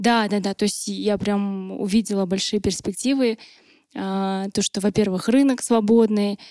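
Speaking at a very slow pace with fairly even intonation, a woman is heard in a dry, close sound with no echo on a very clean recording with a silent background. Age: 20s. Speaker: entrepreneur, drinks producer. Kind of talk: podcast interview.

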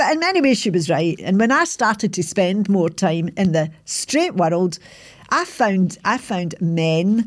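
A woman with a plain, everyday voice speaks at a fairly slow pace with lively intonation, in a very clean recording with a silent background. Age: 60s. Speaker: podcaster telling life story. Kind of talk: reflective monologue recap. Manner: reflective, conversational, self-deprecating.

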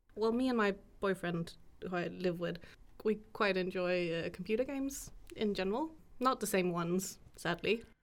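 A woman speaks in a plain, everyday voice at medium pitch. Her pace is moderate and her pitch variation ordinary. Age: 20s. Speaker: student podcast co-host. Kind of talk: casual chat.

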